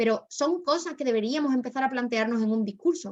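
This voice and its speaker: A woman talks at a very fast clip. Her pitch swings very widely. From Spain, Málaga. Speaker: debate workshop instructor. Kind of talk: workshop lecture.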